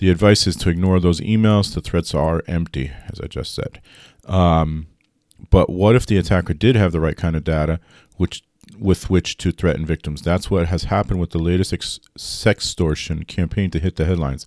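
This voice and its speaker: Recorded very cleanly against a silent background, a man talks at a very deep, low pitch with ordinary pitch variation. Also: dry, close sound with no echo. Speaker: IT consultant podcast host. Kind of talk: solo tech news podcast. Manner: fast.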